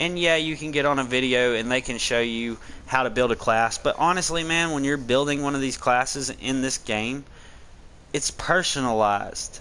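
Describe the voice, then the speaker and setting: The tone is bright and sharp, with a strong Southern US accent. Pitch moves in an ordinary way. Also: man. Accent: very thick Southern country. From Tennessee mountains, US South. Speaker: gaming streamer. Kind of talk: gameplay commentary and tutorial. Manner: casual, conversational.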